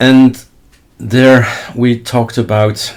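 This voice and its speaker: Here is a man with a Flemish accent. His voice is somewhat breathy. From Flanders, Belgium. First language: Dutch (Flemish). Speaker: Linux tutorial YouTuber. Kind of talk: screen-recorded tutorial. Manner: casual, thinking aloud while demonstrating.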